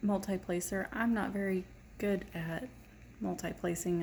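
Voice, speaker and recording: A dark, mellow, somewhat breathy voice speaks with an American accent at a moderate pace. The intonation stays fairly even. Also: woman. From Texas, Irving. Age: 40s. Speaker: diamond painting vlogger. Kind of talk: casual chat.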